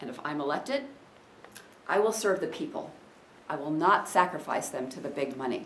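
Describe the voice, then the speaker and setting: A woman's voice carries audible room echo amid noticeable background noise. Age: 60s. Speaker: political candidate. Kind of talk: campaign speech. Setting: room with audience.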